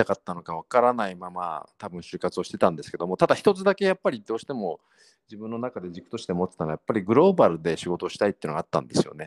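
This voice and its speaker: A man talks at a very fast pace with very wide pitch swings, his voice dry and close with no echo. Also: very clean recording, silent background. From Tokyo, Japan. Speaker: startup CEO. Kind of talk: interview.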